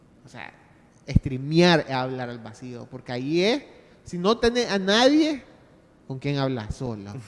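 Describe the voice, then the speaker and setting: Over noticeable background noise, a man with a Nicaraguan accent speaks at a fairly slow pace in a fairly high pitch, his pitch swinging very widely. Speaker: podcaster. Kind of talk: panel discussion. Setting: stage with audience. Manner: halting.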